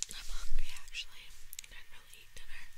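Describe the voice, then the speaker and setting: Whispering and soft-spoken, the speaker goes at a fairly quick pace. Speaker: food video host. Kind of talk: casual vlog chat. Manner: soft close-mic ASMR whisper. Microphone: studio mic.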